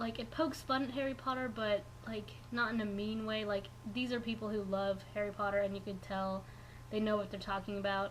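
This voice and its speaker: There's audible room echo as a woman at medium pitch talks at a fairly quick pace. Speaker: knitting vlogger. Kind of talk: casual vlog. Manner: fast; animated.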